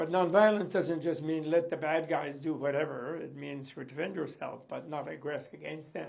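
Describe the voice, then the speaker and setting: Audible room echo surrounds a man with a fairly high pitch. He keeps a moderate pace and fairly even intonation. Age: 80s+. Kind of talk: interview reaction.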